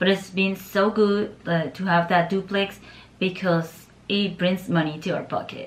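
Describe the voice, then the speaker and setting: In a Nicaraguan accent, a woman speaks fairly slowly at medium pitch, somewhat breathy, with monotone, flat intonation. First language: Spanish. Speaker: YouTuber and landlord. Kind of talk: casual chat.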